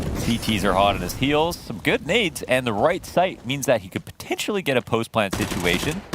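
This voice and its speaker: With very wide pitch swings, a man of medium pitch talks at a fairly quick pace with hardly any pauses as noticeable background noise sits behind him. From Quebec. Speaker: esports caster. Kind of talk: live commentary.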